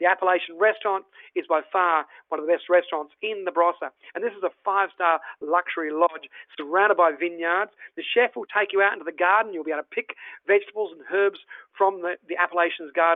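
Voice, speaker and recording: A man with an Australian accent speaks at a very fast pace and a high pitch. His loudness swings widely. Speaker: travel presenter. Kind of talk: virtual tour presentation. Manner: animated; halting.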